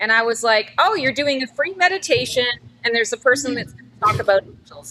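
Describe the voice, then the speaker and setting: A woman's raised, projected voice, high-pitched, with a Canadian accent, very wide pitch swings, big swings in loudness, a fairly quick pace and noticeable background noise. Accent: Canadian, heard as Midwest. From Canada. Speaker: psychic. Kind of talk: interview conversation. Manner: talkative, long-winded.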